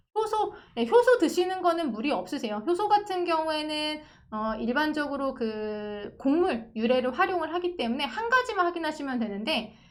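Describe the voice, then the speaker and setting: Delivered at a moderate pace with very wide pitch swings, the speech carries audible room echo. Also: woman, high pitch for a woman. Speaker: pharmacist. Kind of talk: online lecture with viewer Q&A. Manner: conversational, explanatory.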